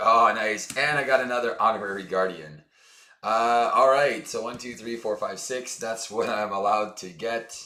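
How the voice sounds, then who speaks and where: A man at a moderate pace, ordinary pitch variation, and audible room echo. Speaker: board game streamer. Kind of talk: gameplay commentary. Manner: casual, with many fillers.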